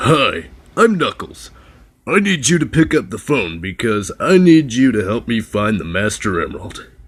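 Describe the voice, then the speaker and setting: A man puts on a cartoonish character voice at a medium pitch, swinging very widely in pitch at a moderate pace. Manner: blunt, urgent.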